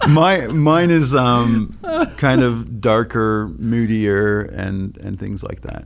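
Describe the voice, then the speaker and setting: Very slowly, a man speaks at a medium pitch with lively intonation and big swings in loudness, amid audible room echo. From Australia, Melbourne. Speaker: photographer and former DJ. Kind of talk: casual podcast chat.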